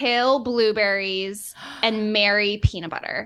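The speaker has an American accent and a bright, sharp tone. The pace is very slow. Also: woman. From Boston, US Northeast. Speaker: dietitian. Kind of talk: casual chat.

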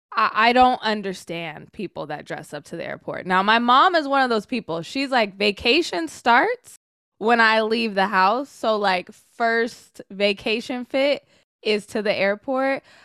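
A woman with an American accent, a fairly high pitch and a bright, sharp tone, fairly slow pace and lively intonation, in a very clean recording with a silent background and a dry, close sound with no echo. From Sacramento, California. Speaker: sports host and writer. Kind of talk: casual chat.

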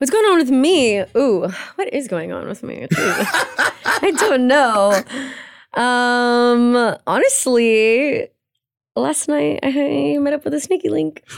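A woman's high voice at a very slow pace, with very wide pitch swings. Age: 20s. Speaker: podcast co-host. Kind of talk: casual chat; scripted outro.

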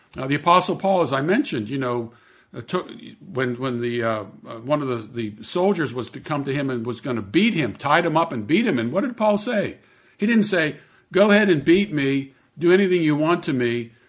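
Moving at a fairly quick pace, a man speaks in a fairly high pitch with very wide pitch swings. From US, Pittsburgh, Pennsylvania. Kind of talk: interview.

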